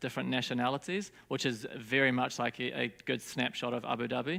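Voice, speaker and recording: In a New Zealand accent, a man talks at a fairly quick pace with medium pitch and a bright, sharp tone. The recording is very clean, with a silent background. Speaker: design studio founder. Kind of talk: conference talk. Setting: stage with audience. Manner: casual, hesitant with fillers.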